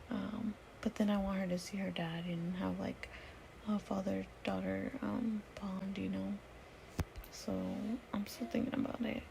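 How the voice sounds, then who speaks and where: With long, frequent pauses, a woman speaks at a fairly slow pace against noticeable background noise. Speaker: vlogger, new mother. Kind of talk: casual vlog storytelling. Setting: lying on bed at home, late night. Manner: soft-spoken.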